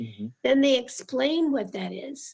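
A woman talks at a very slow pace. Her pitch is high. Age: 70s. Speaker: church member and discipleship group participant. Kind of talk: casual interview chat.

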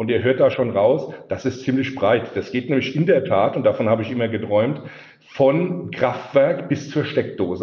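His voice sits at a medium pitch and moves up and down in an ordinary way. The man keeps a moderate pace. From Palatinate, Germany. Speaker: sales executive. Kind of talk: casual chat.

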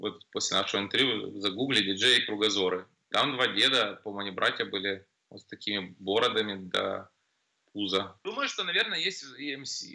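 A man talks in an ordinary speaking voice with ordinary pitch variation. His loudness swings a lot. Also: fairly low pitch for a man, moderate pace. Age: 40s. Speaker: nightclub MC. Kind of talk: casual chat.

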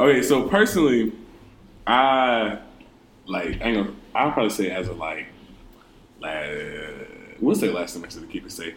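A man speaks at a fairly slow pace with long, frequent pauses. His loudness swings widely, and room echo is audible. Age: 20s. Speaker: student podcast co-host. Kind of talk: casual chat.

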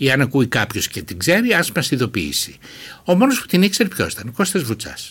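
A man speaks at a fairly quick pace with a fairly high pitch and some vocal fry. His pitch swings very widely. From Greece, Thrace (Alexandroupoli). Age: 70s. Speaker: novelist. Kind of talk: interview.

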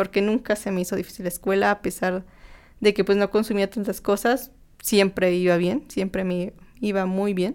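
A woman at a medium pitch with fairly even intonation and a moderate pace, a plain, everyday voice. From Mexico, Tlaxcala. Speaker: recovered anorexia patient. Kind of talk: personal testimony. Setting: studio, in person.

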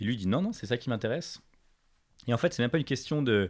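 The recording is very clean with a silent background as a man speaks very fast. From Paris, France. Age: 20s. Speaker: fashion entrepreneur. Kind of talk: casual interview. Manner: animated.

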